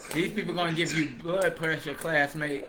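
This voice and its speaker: Over music in the background, a man speaks in a raised, projected voice with an animated tone. Audible room echo surrounds him. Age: 30s. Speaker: livestream host, former cult member. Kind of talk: casual livestream chat, testimony. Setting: live stream on Facebook and TikTok. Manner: talkative.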